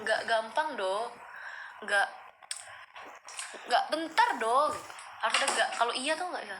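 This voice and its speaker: Amid noticeable background noise and audible room echo, a woman speaks at a moderate pace in a raised, projected, high voice, her pitch swinging very widely between long, frequent pauses. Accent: Pekanbaru. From Pekanbaru, Riau, Indonesia (Malay). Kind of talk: casual livestream chat reading viewer questions. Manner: casual, code-switching with English.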